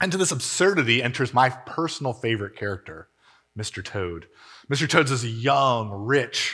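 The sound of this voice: The clip features an unforced reading voice with lively intonation. Behind it, the background is quiet.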